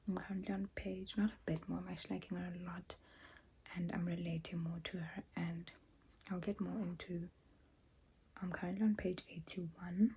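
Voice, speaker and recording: Dark and mellow, a woman's fairly low voice holds a monotone, flat intonation with vocal fry, moving at a moderate pace broken by long, frequent pauses. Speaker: book vlogger. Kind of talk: casual vlog book review. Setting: bathroom at home.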